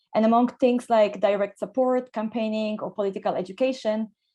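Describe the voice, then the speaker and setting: Over a quiet background, a woman with a fairly high pitch and a dark, mellow tone speaks with fairly even intonation. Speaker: artist and migrant rights organizer. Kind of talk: panel talk. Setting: video call. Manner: hesitant, many fillers.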